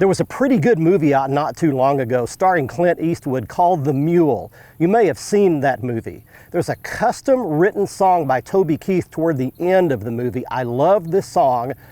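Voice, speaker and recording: A man's unremarkable speaking voice, fairly high-pitched, with lively intonation at a moderate pace, in a very clean recording with a silent background. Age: 60s. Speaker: fishing TV show host. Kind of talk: scripted narration. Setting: outdoors.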